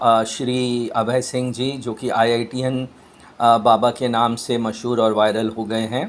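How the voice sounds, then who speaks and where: A man speaks at a medium pitch with a monotone, flat intonation. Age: 60s. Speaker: chemistry lecturer. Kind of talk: personal opinion monologue. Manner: halting, many fillers.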